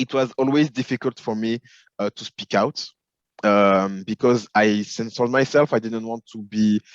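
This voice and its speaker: A man with a French accent at medium pitch, with fairly even intonation, a moderate pace and big swings in loudness, in a dry, close sound with no echo and a quiet background. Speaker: film and television executive. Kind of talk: interview. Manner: hesitant, many fillers.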